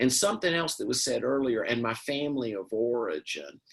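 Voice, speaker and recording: A man speaks with a Southern US accent. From US South, Mississippi. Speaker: panelist, addiction recovery. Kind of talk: panel discussion. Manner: halting.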